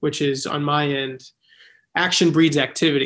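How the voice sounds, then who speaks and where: The recording is very clean, with a silent background. A man with an unremarkable speaking voice and fairly high pitch speaks at a moderate pace. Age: 20s. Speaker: actor and filmmaker. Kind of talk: casual interview.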